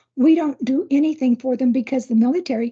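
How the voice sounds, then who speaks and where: A woman talks in a high voice with an American accent. Her tone is dark and mellow. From California. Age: 70s. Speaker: retired nurse. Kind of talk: interview. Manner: conversational.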